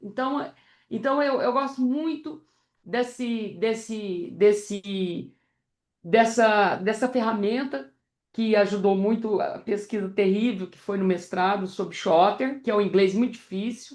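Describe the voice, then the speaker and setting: Her loudness swings widely as a woman with a fairly high pitch speaks at a very slow pace. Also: ordinary pitch variation. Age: 60s. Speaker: psychotherapist. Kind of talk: discussion contribution after a lecture. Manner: halting, many repetitions.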